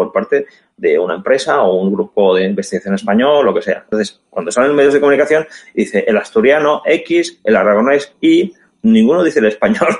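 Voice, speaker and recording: A man with a fairly high pitch talks at a fairly quick pace, his voice swinging very widely in pitch and showing vocal fry. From Barcelona, Spain. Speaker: businessman and civic activist. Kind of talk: interview. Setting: video call.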